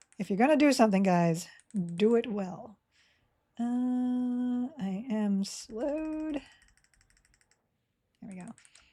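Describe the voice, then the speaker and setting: Speaking at a very slow pace with long, frequent pauses, a woman uses a fairly high voice with a dark, mellow tone, lively intonation and big swings in loudness. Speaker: video game streamer. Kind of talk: live gameplay commentary. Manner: casual, chatty.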